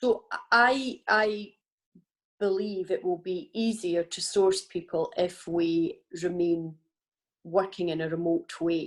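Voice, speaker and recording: With a Scottish accent, a woman speaks very slowly at a medium pitch, with ordinary pitch variation and long, frequent pauses. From Scotland. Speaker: business panelist. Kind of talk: panel discussion.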